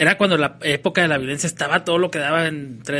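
At a very fast pace, a man talks with a bright, sharp tone and fairly high pitch. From northern Mexico, Ciudad Juárez. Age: 30s. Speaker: comedian. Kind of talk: casual chat.

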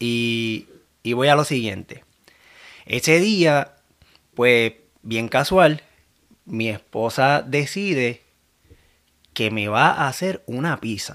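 At a very slow pace with long, frequent pauses, a man of medium pitch talks with lively intonation. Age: 30s. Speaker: new father. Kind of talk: casual chat.

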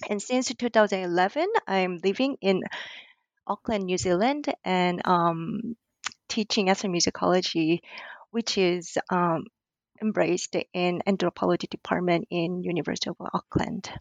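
A woman speaks at a moderate pace with a Korean accent and a medium pitch. Her pitch varies in an ordinary way. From South Korea. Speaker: ethnomusicology lecturer and author. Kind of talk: interview. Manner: hesitant, many fillers.

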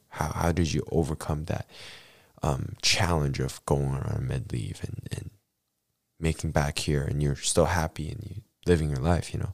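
This man's voice sits very deep and low, with vocal fry running through it. He talks at a moderate pace with ordinary pitch variation. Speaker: podcast host. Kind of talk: casual interview. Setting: studio.

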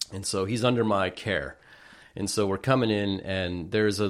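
A man with a plain, everyday voice speaks in a fairly low pitch with an American accent, at a moderate pace and with ordinary pitch variation. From US West Coast, northern Santa Cruz County, California. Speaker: fish artist and angler. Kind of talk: casual chat.

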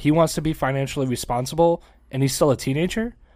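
On a very clean recording with a silent background, a man with a plain, everyday voice and a fairly high pitch talks at a fairly quick pace with ordinary pitch variation. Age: 30s. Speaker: podcast co-host. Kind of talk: casual chat.

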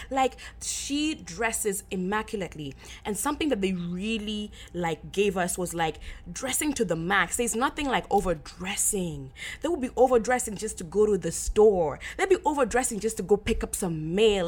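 A woman with a medium pitch speaks at a moderate pace in an animated tone. Her pitch swings very widely. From Kenya. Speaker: podcast host. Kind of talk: casual solo Q&A chat.

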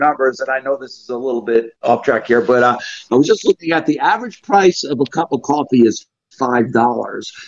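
A man with a plain, everyday voice talks fairly quickly at a fairly high pitch, with ordinary pitch variation. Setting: voice chat.

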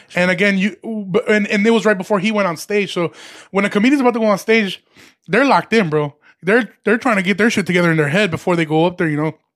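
With an American accent, a man talks very fast at high pitch, showing ordinary pitch variation. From Chicago area, grew up in Chicago then Aurora suburbs. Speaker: stand-up comedian. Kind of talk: casual chat.

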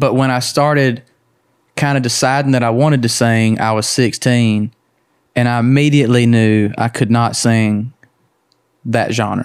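The speaker has a Southern US accent and a monotone, flat intonation at a moderate pace. The loudness is very even, broken by long, frequent pauses. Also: man, medium pitch for a man. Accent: Southern US (Georgia). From Georgia, US South. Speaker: country singer. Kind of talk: casual chat.

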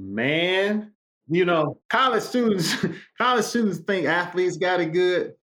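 A man with an American accent talks at a fairly slow pace in a high pitch, with ordinary pitch variation. His tone is bright, sharp and animated, and his loudness stays very even. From Chicago West Side. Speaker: former pro basketball player. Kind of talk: casual interview chat.

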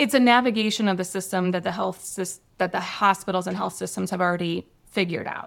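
Using vocal fry, a woman talks at a very fast pace with fairly even intonation. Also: medium pitch for a woman. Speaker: healthcare consultant. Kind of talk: casual professional discussion.

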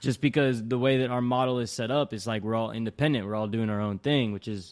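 This is a normal speaking voice from a man at a medium pitch, with ordinary pitch variation. The recording is very clean, with a silent background. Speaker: podcast host. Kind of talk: casual interview.

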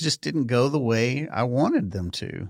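Lively in intonation and medium in pitch, a man with a Texas accent comes through in a very clean recording with a silent background. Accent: Texas twang. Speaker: podcast production company owner. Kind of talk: casual interview chat. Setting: studio.

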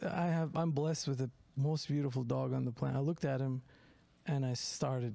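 Ordinary pitch variation marks a man's dark, mellow voice. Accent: Turkish. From Turkey. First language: Turkish. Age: 40s. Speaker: comedian. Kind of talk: casual chat. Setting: studio.

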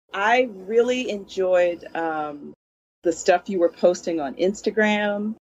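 Her pitch sits in the medium range and varies in an ordinary way as the woman talks at a very slow pace. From Philadelphia, US. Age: 50s. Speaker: classical musician and music teacher. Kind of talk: casual interview chat.

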